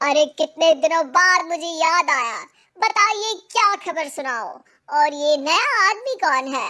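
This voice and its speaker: In a cartoonish character voice, a woman speaks at a fairly slow pace and an extremely high pitch. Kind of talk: cartoon comic voice. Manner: chatty, cheeky.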